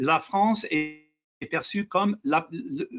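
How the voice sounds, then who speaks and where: A man with an English accent, lively in intonation, at a very slow pace. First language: English (speaking French). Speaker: lawyer, president of international lawyers' association. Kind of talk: webinar panel discussion. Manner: halting, self-correcting.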